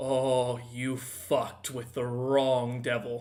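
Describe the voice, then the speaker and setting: A man puts on a character voice at a medium pitch with monotone, flat intonation. He speaks at a very slow pace. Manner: sinister, menacing.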